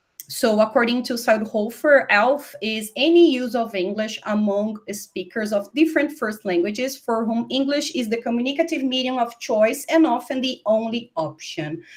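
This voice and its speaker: Her intonation lively, a woman with a Brazilian accent talks at a moderate pace and a fairly high pitch. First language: Portuguese. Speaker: university professor. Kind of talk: webinar lecture. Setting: online webinar. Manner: hesitant, with fillers and restarts.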